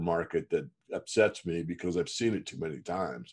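Vocal fry in a man's very deep, low voice over a quiet background. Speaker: market newsletter publisher. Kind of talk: interview answer. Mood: calm, reflective. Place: home room. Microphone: video call.

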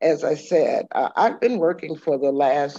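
A woman with a dark, mellow tone speaks at a fairly slow pace, the sound dry with no echo and the background quiet. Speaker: guest lecturer. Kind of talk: lecture. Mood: warm, with some laughter. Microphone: video call.

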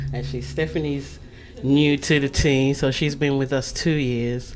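A woman's very deep, low voice with a slight British accent, fairly even intonation and a moderate pace, against noticeable background noise. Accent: light British. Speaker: magazine publisher. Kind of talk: casual interview.

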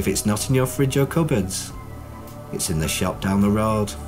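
Lively intonation from a man at a fairly low pitch and moderate pace, with music in the background. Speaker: clinical hypnotherapist. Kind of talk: hypnotherapy promotional talk.

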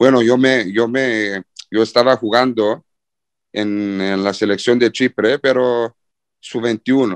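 Recorded with a dry, close sound and no echo, a man talks in a flat, monotone way. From Cyprus. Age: 20s. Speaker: professional footballer. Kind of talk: interview. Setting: video call. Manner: halting.

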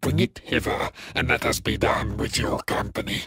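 In a raspy, put-on character voice, a man talks at a moderate pace. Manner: archaic, haughty, contemptuous.

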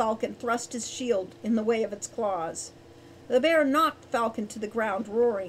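The speaker uses a natural reading voice, its pitch varying in an ordinary way.

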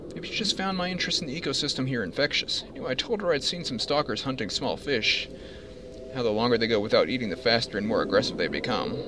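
A medium-pitched man at a very fast pace, with very wide pitch swings and noticeable background noise. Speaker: gaming video commentator. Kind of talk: casual gameplay commentary, some reading aloud. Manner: thinking aloud, conversational.

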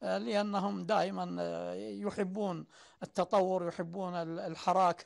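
The background is quiet. A man talks very slowly. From Saudi Arabia, Najd (Sudair); Najd, Saudi Arabia. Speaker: poet and writer; poet. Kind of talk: interview testimony. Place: home room.

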